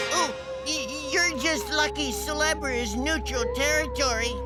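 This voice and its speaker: A cartoonish character voice speaks at a fairly slow pace. Loud music plays in the background. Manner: stammering, fawning, with nervous "oh, oh".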